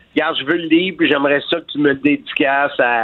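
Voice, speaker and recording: Speaking fairly quickly with a Quebec accent, a man keeps his fairly high voice in fairly even intonation. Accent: Québécois French. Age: 60s. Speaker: wrestling commentator and author. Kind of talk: interview. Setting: phone call.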